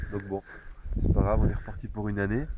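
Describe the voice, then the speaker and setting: The voice has a dark, mellow tone and fairly even intonation, with a dry sound with no echo and light background noise. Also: man. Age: 20s. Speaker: camper, birthday guest; guest. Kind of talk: casual chat. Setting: outdoors. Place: forest. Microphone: camera far.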